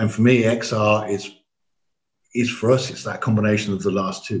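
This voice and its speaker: A man speaks with an English accent at a moderate pace. His voice is somewhat breathy. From England. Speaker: AV company managing director. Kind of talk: podcast interview.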